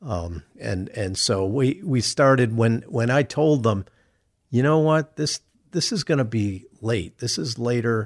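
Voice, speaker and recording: An American-accented man speaks at a fairly slow pace with a medium pitch and lively intonation. The recording is very clean, with a silent background. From Chicago. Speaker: retired TV news anchor. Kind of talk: interview. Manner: halting, many repetitions and fillers.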